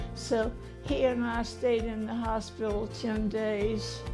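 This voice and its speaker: A woman speaks with music in the background. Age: 80s+. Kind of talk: interview answer. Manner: slow, hesitant.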